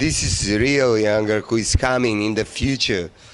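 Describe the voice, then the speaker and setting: Noticeable background noise accompanies a man speaking in a medium pitch. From North Macedonia. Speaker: music TV host. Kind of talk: interview. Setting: metal festival. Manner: animated; halting.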